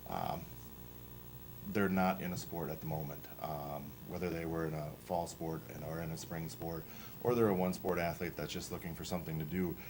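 In a room with audible echo, a man talks with very deep, low pitch and fairly even intonation. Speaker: powerlifting club coach. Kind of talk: presentation to school board. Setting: school board meeting. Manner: fast; halting, many fillers.

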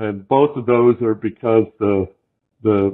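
A man with an American accent uses a normal speaking voice at a fairly low pitch and a fairly slow pace. His intonation is fairly even, and the background is quiet. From US Midwest. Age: 60s. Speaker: fly fishing guide and shop owner; fly fishing guide. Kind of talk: casual interview. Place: home room. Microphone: video call.

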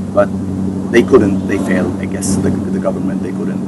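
Loud background noise sits behind a man's voice. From Syria. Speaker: refugee and interpreter. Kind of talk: interview. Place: garden. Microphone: camera far.

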